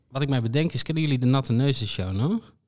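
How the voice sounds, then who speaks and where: The recording is very clean with a silent background, and on it a man talks at a very fast pace, his pitch varying in an ordinary way. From Friesland, Netherlands. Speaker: podcast co-host. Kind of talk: casual chat.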